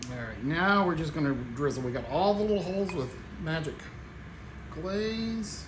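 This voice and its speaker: A man with a Tennessee accent speaks at a high pitch and moderate pace with lively intonation and long, frequent pauses. Audible room echo and noticeable background noise fill the recording. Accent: Tennessee twang, strong on some words. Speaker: home cooking channel host. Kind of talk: cooking tutorial. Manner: casual, folksy.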